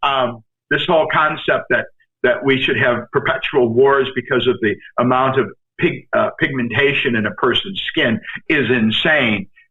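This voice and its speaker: This man speaks at a moderate pace in a fairly high voice with ordinary pitch variation. His loudness stays very even. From New York. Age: 60s. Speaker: actor. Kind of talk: casual chat. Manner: animated.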